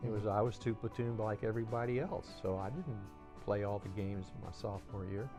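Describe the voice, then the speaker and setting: A man at a fairly low pitch with ordinary pitch variation and a fairly quick pace, with music in the background. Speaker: former college baseball player. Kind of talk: interview answer.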